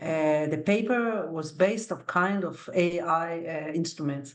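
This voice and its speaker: A woman with a fairly low pitch and ordinary pitch variation speaks at a fairly slow pace. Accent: non-native. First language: not English. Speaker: academic, panelist. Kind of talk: panel discussion. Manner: animated, conversational.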